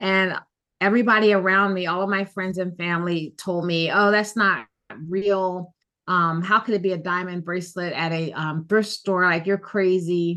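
The speaker has a bright, sharp tone and an American accent, talking at a moderate pace over a quiet background. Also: woman, medium pitch for a woman. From Philadelphia. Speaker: gemologist. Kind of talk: interview. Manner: hesitant with many fillers.

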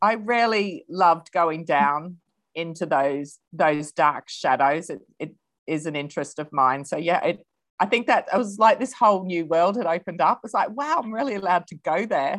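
A woman's fairly low voice with lively intonation and an Australian accent, over a quiet background. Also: moderate pace. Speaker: novelist. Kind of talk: interview.

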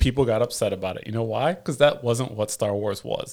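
Very clean, with a silent background, the recording captures a man with an ordinary speaking voice and an American accent talking at a fairly quick pace in a medium pitch. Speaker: podcast co-host. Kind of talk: casual chat.

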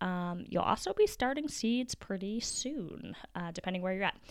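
With a plain, everyday voice at medium pitch, a woman speaks at a moderate pace and with lively intonation in a very clean recording over a silent background. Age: 30s. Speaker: podcast host, homemaker and gardener. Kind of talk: casual solo talk and tutorial. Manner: casual, with frequent fillers.

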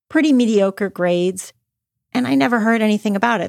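On a very clean recording with a silent background and a dry, close sound with no echo, a woman with a Canadian accent uses a plain, everyday voice with lively intonation. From Canada, Toronto. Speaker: podcast host, author and entrepreneur. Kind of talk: personal storytelling and motivational talk.

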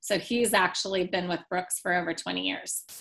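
A woman speaks in an ordinary speaking voice at a medium pitch. Her pace is moderate and her pitch variation ordinary. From US Pacific Northwest, Portland, Oregon. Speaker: winery managing director. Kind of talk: interview.

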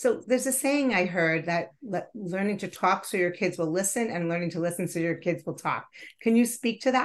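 Against a quiet background, a woman speaks at a fairly quick pace in a normal speaking voice, at medium pitch with ordinary pitch variation. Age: 50s. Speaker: wellness podcast host and nonprofit founder. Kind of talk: interview.

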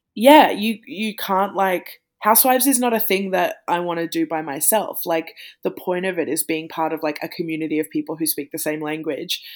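A woman at a fairly low pitch with an Australian accent, lively intonation, and a fairly quick pace, in a very clean recording with a silent background. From regional Victoria, Australia. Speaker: podcaster and author. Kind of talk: casual chat.

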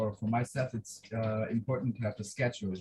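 This man's voice is medium in pitch and somewhat breathy. He keeps a moderate pace, and the sound is dry and close with no echo. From Switzerland. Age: young. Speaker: life science student, mission medical officer. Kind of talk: casual chat. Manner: halting.

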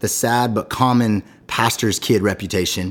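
On a very clean recording with a silent background, a man with an American accent has a plain, everyday voice, a fairly low pitch, and ordinary pitch variation. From US West Coast. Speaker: podcast host and pastor. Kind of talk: interview. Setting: studio.

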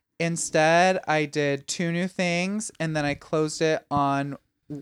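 Speaking at a very slow pace in a Midwestern American accent, a man uses fairly even intonation and a fairly high pitch. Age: 20s. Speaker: stand-up comedian. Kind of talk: casual chat.

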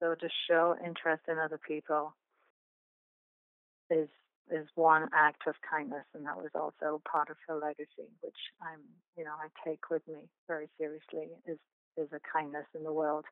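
A woman's low voice, monotone and flat, at a moderate pace

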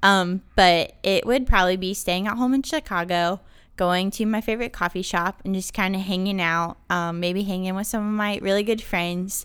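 A woman with an American accent and a medium pitch talks at a moderate pace with fairly even intonation and hardly any pauses, in a very clean recording with a silent background. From North Carolina. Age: 20s. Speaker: flight attendant and author. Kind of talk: interview.

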